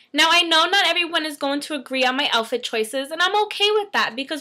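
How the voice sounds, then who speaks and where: A woman's raised, projected voice, fairly quick in pace, with lively intonation and a quiet background. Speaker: fashion vlogger. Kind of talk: casual vlog talk. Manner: chatty, animated. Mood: playful, upbeat. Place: home room. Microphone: webcam.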